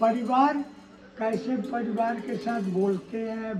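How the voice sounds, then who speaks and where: Fairly even intonation over music in the background. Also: man. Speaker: sadhu. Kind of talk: spiritual discourse. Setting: ashram. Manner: soft-spoken.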